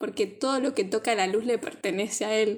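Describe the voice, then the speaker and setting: A woman with a Rioplatense accent speaks at a fairly slow pace, her fairly high pitch rising and falling in an ordinary way, on a very clean recording with a silent background. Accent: Argentine Spanish (rioplatense). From Argentina. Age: 20s. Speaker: podcast co-host. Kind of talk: casual chat.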